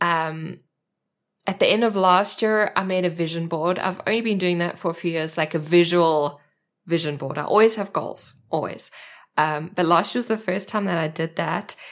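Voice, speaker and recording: A woman with a South African accent speaks at a moderate pace in a fairly low voice. The recording is very clean, with a silent background. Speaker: art journaling community leader. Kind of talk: casual chat. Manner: animated.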